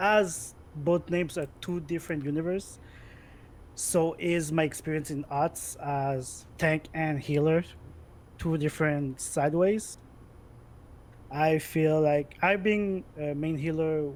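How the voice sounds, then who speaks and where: Speaking at a fairly slow pace with long, frequent pauses, a man has a Quebec accent. His voice is fairly high-pitched, with fairly even intonation. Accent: French Canadian accent in English. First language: French. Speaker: gamer, esports player. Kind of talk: interview chat. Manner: loud.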